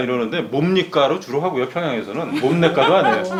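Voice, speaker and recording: Against noticeable background noise, a man with a slight North Korean accent talks at a fairly quick pace with lively intonation. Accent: slight North Korean-like intonation picked up. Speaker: journalist and author. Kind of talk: interview.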